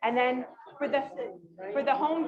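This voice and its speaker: A woman speaks loudly at a fairly quick pace. Her pitch is high. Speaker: conference speaker. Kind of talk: casual chat.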